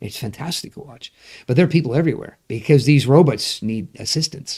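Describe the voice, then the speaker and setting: A man speaks with a somewhat breathy voice and a dark, mellow tone. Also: big swings in loudness. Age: 60s. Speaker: pastor. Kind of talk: casual chat. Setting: livestream. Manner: halting, many repeated words.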